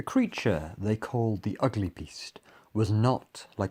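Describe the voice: The text is delivered as plain reading aloud.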